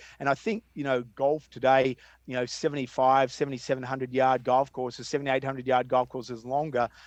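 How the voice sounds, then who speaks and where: Talking very fast, a man with an Australian accent keeps his intonation monotone. It stays flat throughout. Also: medium pitch for a man. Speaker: golf course designer. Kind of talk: interview conversation.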